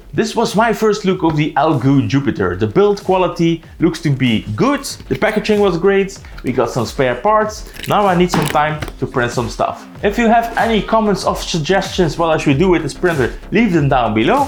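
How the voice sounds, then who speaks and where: Moderate pace and hardly any pauses, with very wide pitch swings, very even loudness and a Dutch accent, over noticeable background noise. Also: man, high pitch for a man. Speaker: tech YouTuber. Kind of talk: product unboxing and review. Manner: casual, conversational.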